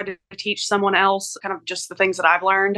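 Dry and close with no echo, a woman's bright, sharp tone comes through at a very fast pace. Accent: Southern US. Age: 30s. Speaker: hairstylist. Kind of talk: advice call.

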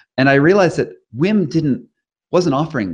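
Against a quiet background, a man with an American accent speaks with vocal fry. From US Northeast (Rhode Island). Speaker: investigative journalist and author. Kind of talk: interview.

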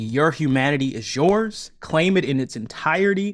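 Recorded very cleanly with a silent background, a man with a fairly high voice speaks at a moderate pace in a normal speaking voice with ordinary pitch variation. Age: 30s. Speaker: audio fiction creator and narrator. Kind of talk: casual interview.

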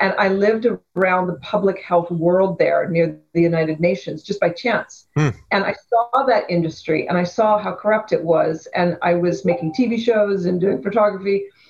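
With a western Canadian accent, a woman speaks at a moderate pace and medium pitch, with ordinary pitch variation and hardly any pauses. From Canada, Vancouver. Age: 50s. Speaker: activist and photographer. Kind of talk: interview.

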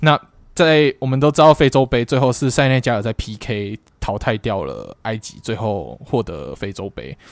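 In a Taiwanese accent with vocal fry, the speaker talks at a moderate pace with lively intonation, in a very clean recording with a silent background and a dry, close sound with no echo. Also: man, medium pitch for a man. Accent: Taiwanese Mandarin. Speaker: football podcast co-host. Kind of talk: casual chat.

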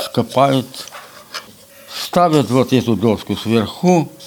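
A man speaks at a medium pitch and a very slow pace. Noticeable background noise is present. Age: 80s+. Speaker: folk instrument maker and musician. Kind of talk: casual interview. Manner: halting.

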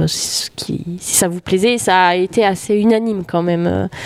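Against noticeable background noise, a woman speaks at a very slow pace with ordinary pitch variation. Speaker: music educator. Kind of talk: casual interview. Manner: hesitant, many fillers.

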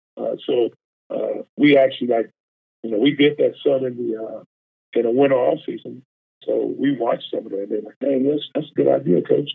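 In a Texan accent, a man speaks at a fairly quick pace. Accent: Texan Southern US. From Texas, small town outside Houston. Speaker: college football defensive line coach. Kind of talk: casual interview chat. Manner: halting, many fillers.

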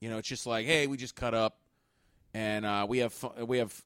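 A man with a plain, everyday voice and a fairly low pitch speaks at a fairly quick pace in a very clean recording with a silent background. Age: 30s. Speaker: podcast host and comedian. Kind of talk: casual chat.

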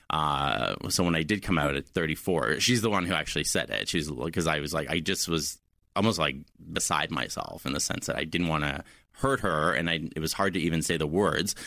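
The man's pitch is very deep and low, with vocal fry and a bright, sharp tone. His pitch varies in an ordinary way. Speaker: guest sharing coming out story. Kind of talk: casual interview chat, personal story.

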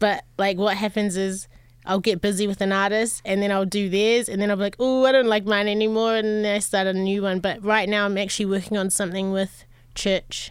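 A fairly quick delivery with an American accent and monotone, flat intonation. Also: woman, medium pitch for a woman. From New Zealand (Auckland). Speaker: music producer and DJ. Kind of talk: casual interview chat. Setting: studio.

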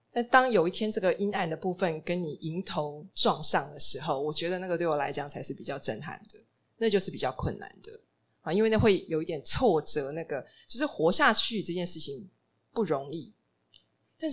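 A woman talks at a fairly quick pace in a plain, everyday voice with a fairly low pitch. Her intonation is lively, and her loudness swings widely. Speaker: restaurant and bookstore founder. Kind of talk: panel talk. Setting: stage with audience.

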